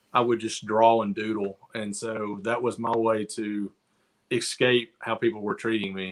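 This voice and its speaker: A man with a Southern US accent talks at a medium pitch and a fairly slow pace. His intonation is monotone and flat. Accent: Southern drawl. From US South, near Chattanooga, Tennessee. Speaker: artist. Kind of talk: casual chat. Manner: halting.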